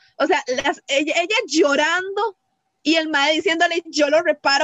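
Moderate pace with ordinary pitch variation. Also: woman. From Costa Rica, Cartago. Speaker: podcast co-host. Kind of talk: casual chat. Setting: remote recording.

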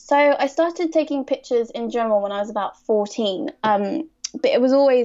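A woman with a southern English accent speaks at a fairly quick pace, with hardly any pauses. Her pitch is high, and it varies in an ordinary way. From Surrey, southern England. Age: 20s. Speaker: fashion photographer. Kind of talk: podcast interview.

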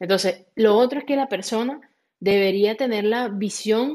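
This woman has an unremarkable speaking voice, pitched fairly high, with ordinary pitch variation. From Venezuela. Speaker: franchise consultant. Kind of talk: interview.

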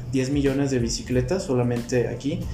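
Fairly quick male speech at a medium pitch, with noticeable background noise and audible room echo. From Mexico. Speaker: inventor and entrepreneur. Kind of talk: interview.

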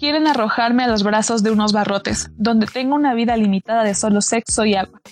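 A woman speaks very fast with hardly any pauses, her pitch fairly high and her intonation fairly even. Her loudness stays very even while music plays in the background. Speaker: radio host. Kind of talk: poem reading aloud, then conversational hosting. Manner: earnest, declamatory, impassioned.

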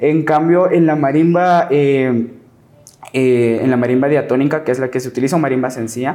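With a Guatemalan accent, a man talks at a moderate pace in a fairly high pitch with fairly even intonation. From Guatemala, Lake Atitlán (San Juan La Laguna, Sololá). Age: 20s. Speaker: marimba player and music teacher. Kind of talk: casual interview.

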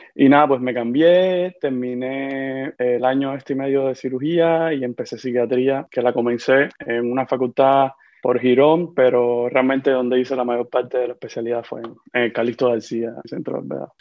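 The speech runs with hardly any pauses. Its intonation is fairly even. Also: man, medium pitch for a man. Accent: Havana Cuban. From Cuba, Havana. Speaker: psychiatrist. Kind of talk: interview conversation. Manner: fast, clipping words.

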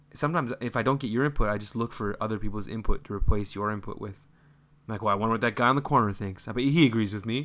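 In a very clean recording with a silent background, a man at medium pitch speaks very fast with ordinary pitch variation. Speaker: podcast co-host. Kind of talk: casual chat. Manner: talkative.

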